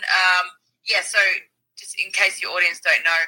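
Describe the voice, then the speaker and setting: Speaking at a moderate pace, a woman talks with an Australian accent. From Melbourne, Australia. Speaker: activist, movement founder. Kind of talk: interview. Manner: hesitant with fillers.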